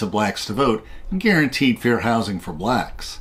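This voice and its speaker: A man with an American accent has a plain, everyday voice at a medium pitch. He speaks at a moderate pace with lively intonation. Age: 60s. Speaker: channel host, commentator. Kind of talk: scripted narration.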